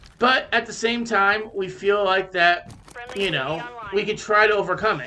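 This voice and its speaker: At a moderate pace, a man projects a raised voice at a high pitch. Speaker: gaming YouTuber. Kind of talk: casual commentary over gameplay. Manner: halting, many filler words.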